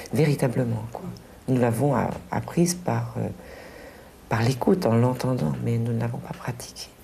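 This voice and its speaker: Heard with audible room echo and noticeable background noise, the speech moves at a fairly slow pace. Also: woman. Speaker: teacher. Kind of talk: interview.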